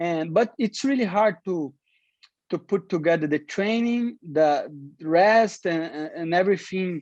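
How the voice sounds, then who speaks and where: With a non-native accent, the speaker goes at a fairly slow pace using ordinary pitch variation. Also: man. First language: Portuguese. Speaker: professional MMA fighter. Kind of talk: interview. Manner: halting, many repetitions.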